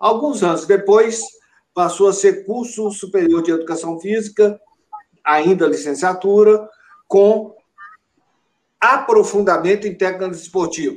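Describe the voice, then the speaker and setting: A man's high voice at a fairly slow pace, with ordinary pitch variation and long, frequent pauses. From Brazil, Belo Horizonte, Minas Gerais. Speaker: president of physical education professional council, professor. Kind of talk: interview. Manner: formal.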